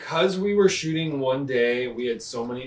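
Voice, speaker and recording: Noticeable background noise sits behind a man with a medium pitch and lively intonation. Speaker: film director. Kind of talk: documentary interview. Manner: fast.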